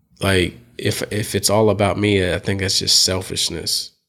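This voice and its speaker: At a fairly slow pace, a man speaks in a fairly low, monotone voice with flat intonation. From Tennessee. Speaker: comedian. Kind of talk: casual chat.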